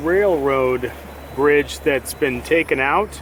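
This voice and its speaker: The speech comes at a very slow pace. Noticeable background noise is audible. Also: man. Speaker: shanty boat traveler vlogger. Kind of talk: casual talk to camera.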